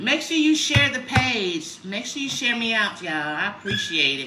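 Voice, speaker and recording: A woman speaks in a raised, projected voice at a fairly slow pace, her pitch swinging very widely, with audible room echo and noticeable background noise. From Chicago, US Midwest. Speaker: lifestyle vlogger. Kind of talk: casual livestream chat. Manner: loud; mellow.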